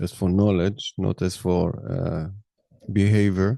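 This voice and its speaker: A man with a non-native accent speaks very slowly at a very deep, low pitch, his dark, mellow tone caught in a dry, close sound with no echo. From Israel. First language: Hebrew. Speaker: podcaster. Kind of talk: monologue. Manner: halting.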